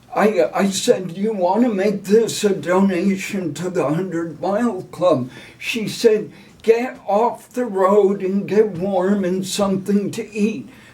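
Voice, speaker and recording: Noticeable background noise sits behind a man with a high pitch. He talks at a very slow pace with ordinary pitch variation. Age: 70s. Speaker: retired teacher and ultrarunner. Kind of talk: interview answer.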